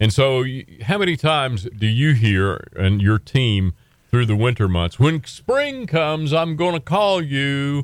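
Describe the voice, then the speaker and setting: With an Appalachian accent, a man speaks at a fairly slow pace using lively intonation. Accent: Southern US (Appalachian). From Western North Carolina. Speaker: radio host. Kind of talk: casual chat.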